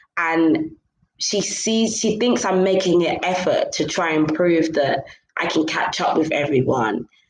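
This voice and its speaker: A woman's fairly low voice with a London accent, ordinary pitch variation, and audible room echo. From London, England. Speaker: podcaster. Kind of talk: casual chat.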